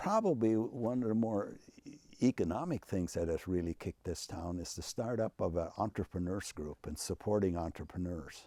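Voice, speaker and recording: A man with an Upper Midwest accent talks at a moderate pace in a fairly low, dark and mellow voice, recorded dry and close with no echo against a silent background in a very clean recording. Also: ordinary pitch variation. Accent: Upper Midwest American. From Minnesota. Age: 80s+. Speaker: retired university president. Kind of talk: interview. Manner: animated.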